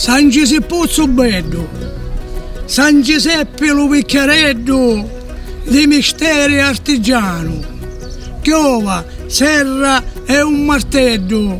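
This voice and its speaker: An extremely high-pitched man with a Sicilian accent, very slow pace, long and frequent pauses, ordinary pitch variation, very even loudness and music in the background. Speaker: dialect poet. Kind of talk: poetry reading.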